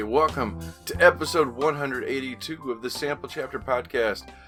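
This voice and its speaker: Over music in the background, a man speaks at medium pitch in an excited, upbeat tone, with lively intonation and big swings in loudness. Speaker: podcast host. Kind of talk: podcast interview host.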